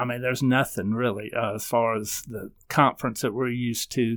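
In a Southern US accent, a man speaks at a moderate pace and medium pitch with fairly even intonation, recorded very cleanly against a silent background. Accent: Southern American. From US South, upstate South Carolina. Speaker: newspaper editor. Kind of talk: interview.

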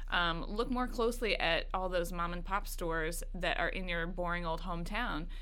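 This woman has an American accent and a medium pitch, with ordinary pitch variation. She talks at a moderate pace with hardly any pauses, and room echo is audible. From Kentucky, US. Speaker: food job website co-founder. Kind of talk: casual chat. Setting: studio.

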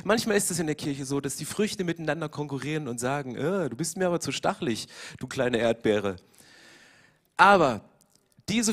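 A man's fairly high voice moves at a moderate pace, his intonation lively. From eastern Germany. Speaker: pastor. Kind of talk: sermon. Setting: church.

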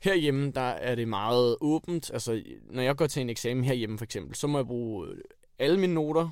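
Speaking at a moderate pace, a man has an unremarkable speaking voice. His pitch is medium with ordinary variation. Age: 20s. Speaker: engineering student. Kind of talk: interview.

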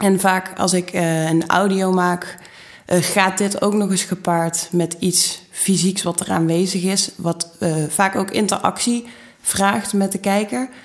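A woman at a very slow pace, with very even loudness and fairly even intonation. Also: medium pitch for a woman. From Netherlands, Maastricht (Limburg). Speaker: fashion designer. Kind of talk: interview.

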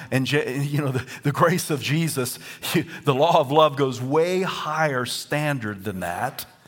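With noticeable background noise behind him, a man talks fairly slowly in a fairly high voice with ordinary pitch variation. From US South. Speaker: pastor. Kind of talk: sermon. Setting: church. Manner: animated.

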